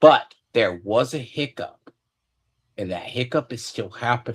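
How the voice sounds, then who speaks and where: A man speaks in a plain, everyday voice. His pace is fairly slow, with lively intonation. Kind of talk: casual conversation.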